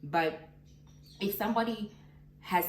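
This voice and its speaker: Amid noticeable background noise and audible room echo, a woman talks at a fairly slow pace. Her pitch variation is ordinary. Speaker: vlogger. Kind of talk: casual vlog monologue.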